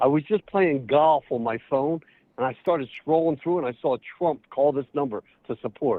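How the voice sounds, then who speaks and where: A man with a normal speaking voice talks at a fairly high pitch. He keeps a moderate pace and ordinary pitch variation. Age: 60s. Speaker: caller. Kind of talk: prank call.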